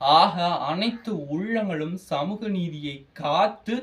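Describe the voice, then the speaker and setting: The speaker is a man with a high pitch. His intonation is lively. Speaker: college student speaker. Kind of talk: speech. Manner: animated, oratorical.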